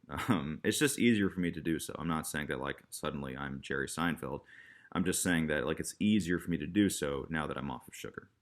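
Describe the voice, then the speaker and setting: Speaking at a fairly quick pace in an American accent, a man with a very deep, low pitch and vocal fry shows ordinary pitch variation in a very clean recording with a silent background. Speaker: YouTuber vlogger. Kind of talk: casual vlog monologue. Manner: halting, stop-and-start.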